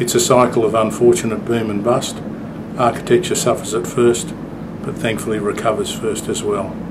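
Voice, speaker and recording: Noticeable background noise sits behind a man with an Australian accent. He speaks at a moderate pace and medium pitch, with fairly even intonation. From Sydney, Australia. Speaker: architect. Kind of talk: interview answer.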